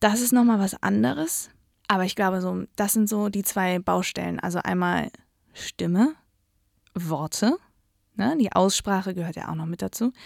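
A woman speaks in an animated tone at a medium pitch and moderate pace, with ordinary pitch variation. The recording is very clean and dry, close with no echo, with a silent background. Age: 20s. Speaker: radio and social media editor. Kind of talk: interview. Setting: studio.

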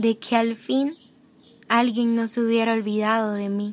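This woman talks at a fairly slow pace. Her pitch sits fairly high. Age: 20s. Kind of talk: personal testimony.

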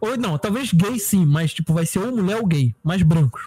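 At a moderate pace, a man speaks in a high voice with lively intonation, the sound dry and close with no echo. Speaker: podcast co-host. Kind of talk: casual chat.

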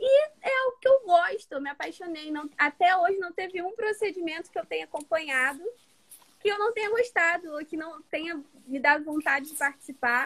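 The intonation is lively. Loudness swings widely. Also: woman, extremely high pitch for a woman, moderate pace. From Rio de Janeiro, Baixada Fluminense. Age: 20s. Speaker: medical student. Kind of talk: interview. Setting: at home.

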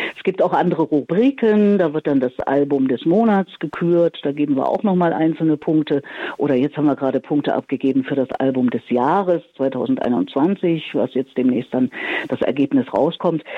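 A woman with a very deep, low pitch talks at a moderate pace over noticeable background noise. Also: lively intonation. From Thuringia, Erfurt. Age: 60s. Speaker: radio presenter and communication coach. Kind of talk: interview. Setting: phone call.

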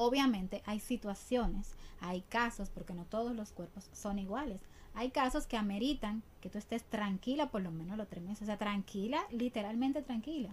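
A woman with a fairly high, somewhat breathy voice speaks at a moderate pace with ordinary pitch variation. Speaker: ballet dancer and teacher. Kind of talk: interview. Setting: studio.

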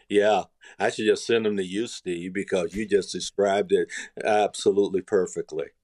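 A plain, everyday voice speaks at a moderate pace with fairly even intonation. The sound is dry and close with no echo, on a very clean recording with a silent background. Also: man. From US South, rural North Carolina. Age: 60s. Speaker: life coach and business consultant. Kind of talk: podcast interview.

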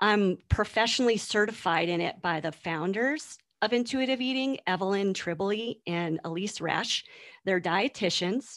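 Over a very clean recording with a silent background, a woman with an American accent and a plain, everyday voice speaks at a moderate pace and medium pitch with lively intonation. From US East Coast. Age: 50s. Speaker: nutrition and body image coach. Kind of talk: interview conversation.

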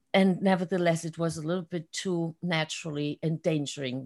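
A woman with a German accent speaks at a fairly low pitch with ordinary pitch variation. The recording is very clean and dry, close with no echo, against a silent background. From Germany. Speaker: excellence coach and artist. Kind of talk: interview.

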